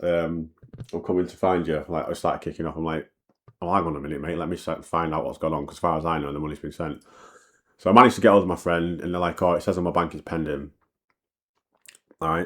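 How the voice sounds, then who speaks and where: A man at a very deep, low pitch, very fast, with fairly even intonation, on a very clean recording with a silent background. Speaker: musician and DJ telling personal story. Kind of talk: storytime monologue. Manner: casual, repetitive fillers.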